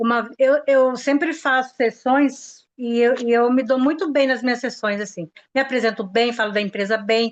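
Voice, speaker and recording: Hardly pausing, a woman speaks at a high pitch with ordinary pitch variation. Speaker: sales consultant. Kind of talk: casual chat. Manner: fast; animated.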